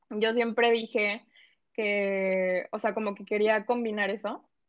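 A woman with an ordinary speaking voice, fairly high pitch and fairly even intonation, against a quiet background. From Mexico, Colima coast (Manzanillo), moved to Quintana Roo at 12. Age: 20s. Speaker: lawyer and fitness account founder. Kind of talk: casual interview chat.

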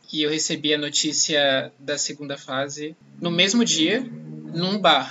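A man's fairly high-pitched, normal speaking voice, its pitch varying in an ordinary way. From Salvador, Bahia, Brazil. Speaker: journalism student and podcast host. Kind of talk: personal testimony.

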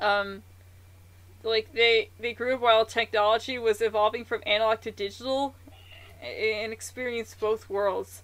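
Pitched fairly high, a woman speaks at a moderate pace. Her intonation is monotone and flat. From Newfoundland, Canada. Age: 20s. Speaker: podcast host. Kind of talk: casual chat. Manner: halting.

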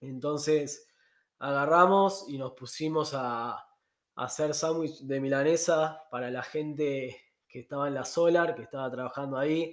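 A man with an ordinary speaking voice, a fairly high pitch and big swings in loudness. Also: fairly even intonation, fairly slow pace. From Argentina. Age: 30s. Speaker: travel podcaster. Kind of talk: casual monologue.

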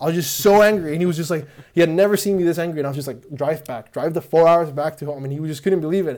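A man rattles along at a very fast pace with hardly any pauses. His pitch is fairly high. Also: ordinary pitch variation. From Honduras. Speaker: podcast guest. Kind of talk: casual chat.

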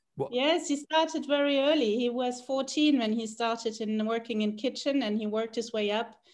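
Against a quiet background, a woman with a high pitch talks at a moderate pace with ordinary pitch variation and hardly any pauses. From South America, German parents. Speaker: hospitality design executive. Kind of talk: interview.

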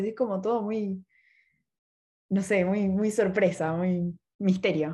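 At a fairly slow pace and medium pitch, a woman speaks in a Rioplatense accent with long, frequent pauses. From Buenos Aires, Argentina. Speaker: university student podcast host. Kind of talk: casual chat.

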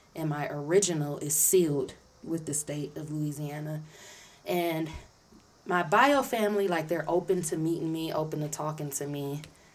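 A woman's very deep, low voice at a moderate pace, ordinary pitch variation, audible room echo. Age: 30s. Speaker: podcaster, returning guest. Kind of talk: casual chat.

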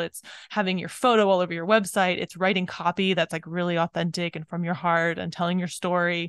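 Against a quiet background, a woman talks at a fairly quick pace and fairly low pitch in a dry, close sound with no echo, an unremarkable speaking voice. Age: 40s. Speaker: podcast host and business coach. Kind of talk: interview.

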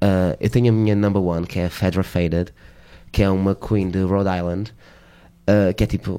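A man speaks at a moderate pace, with a very deep, low pitch and a dark, mellow tone. His intonation is monotone and flat, broken by long, frequent pauses. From Portugal, Alentejo (Reguengos de Monsaraz). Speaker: drag queen. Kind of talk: interview. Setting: radio studio.

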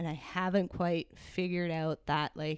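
The woman has an unremarkable speaking voice, pitched fairly low and delivered at a fairly slow pace. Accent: Canadian. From Hamilton area, Ontario, Canada. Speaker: client experience manager. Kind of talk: casual interview.

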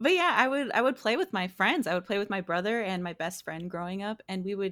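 On a very clean recording with a silent background, a woman with an ordinary speaking voice and medium pitch talks at a fairly quick pace. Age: 20s. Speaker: video game streamer. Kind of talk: casual chat.

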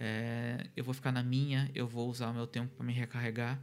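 In a flat monotone, a man talks at a medium pitch. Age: 30s. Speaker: podcast host. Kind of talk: solo monologue podcast. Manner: halting, many fillers.

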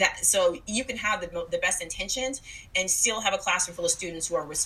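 A woman's animated, medium-pitched voice at a fairly quick pace, with ordinary pitch variation and noticeable background noise. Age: 40s. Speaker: podcast host and anti-racism educator. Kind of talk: solo podcast monologue.

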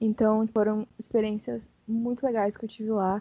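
A woman speaks with a fairly high pitch. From São Paulo, Brazil. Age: 20s. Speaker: illustrator. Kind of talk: casual panel discussion.

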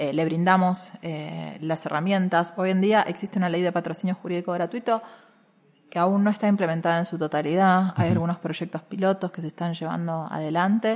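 A woman in an ordinary speaking voice, fairly low in pitch, fairly quick, with fairly even intonation. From Argentina, Buenos Aires area (Caseros). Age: young. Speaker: feminist lawyer and activist. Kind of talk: interview conversation. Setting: university venue.

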